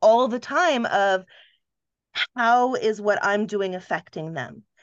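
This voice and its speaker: Against a quiet background, a woman with an ordinary speaking voice talks at a medium pitch and moderate pace, with ordinary pitch variation. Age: 50s. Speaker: dating coaching client, entrepreneur. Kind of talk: casual chat.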